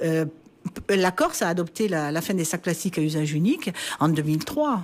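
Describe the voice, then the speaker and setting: Fairly low in pitch, a woman speaks in a plain, everyday voice at a fairly quick pace, with ordinary pitch variation and very even loudness. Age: 60s. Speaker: politician, party president. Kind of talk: radio interview.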